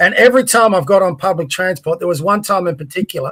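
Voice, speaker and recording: In an Australian accent, a man uses a raised, projected voice with a high pitch at a fairly quick pace. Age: 60s. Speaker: podcast co-host. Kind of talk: casual political discussion.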